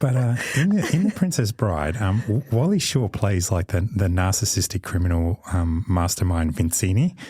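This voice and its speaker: The voice has a dark, mellow tone, somewhat breathy, with lively intonation and very even loudness at a moderate pace. There are hardly any pauses, and the recording is very clean with a silent background. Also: man, fairly low pitch for a man. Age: middle-aged. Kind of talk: casual chat. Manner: halting, with many fillers.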